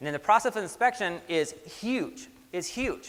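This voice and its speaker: With a raised, projected voice, a man speaks in a bright, sharp tone and lively intonation. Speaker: environmental inspection supervisor, trainer. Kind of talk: lecture. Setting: conference classroom with audience. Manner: fast; casual, animated.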